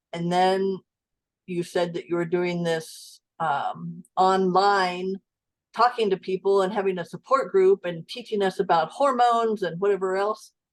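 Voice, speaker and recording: Here is a plain, everyday voice: a woman at medium pitch with fairly even intonation and a fairly slow pace. The sound is dry and close with no echo, and the background is quiet. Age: 60s. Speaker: client sharing health story. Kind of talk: interview testimony.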